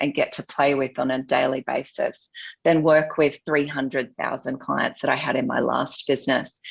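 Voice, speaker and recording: An Australian accent from a woman with a very deep, low pitch, monotone, flat intonation, a moderate pace and hardly any pauses. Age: 40s. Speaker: luxury marketing expert. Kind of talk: interview.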